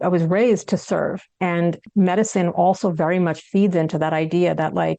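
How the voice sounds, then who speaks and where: A woman with a fairly low pitch talks at a moderate pace with ordinary pitch variation. The background is quiet. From United States. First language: Hindi. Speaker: psychiatrist and author. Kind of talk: interview.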